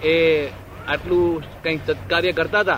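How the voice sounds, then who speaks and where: Amid noticeable background noise, a man speaks at a high pitch. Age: 60s. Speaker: devotee asking questions. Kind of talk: spiritual questioning.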